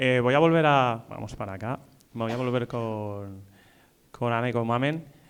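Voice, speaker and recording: A man speaks in an unremarkable speaking voice at a medium pitch. His pace is moderate. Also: ordinary pitch variation. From Spain, Valencia. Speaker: event moderator. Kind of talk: panel discussion.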